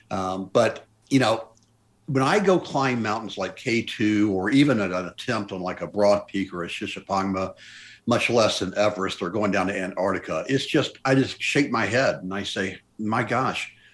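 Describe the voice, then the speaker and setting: With an American accent and a normal speaking voice, the speaker talks at a moderate pace with ordinary pitch variation in a very clean recording over a silent background. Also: man, fairly low pitch for a man. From US South, Memphis, Tennessee. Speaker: mountaineer. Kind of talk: interview.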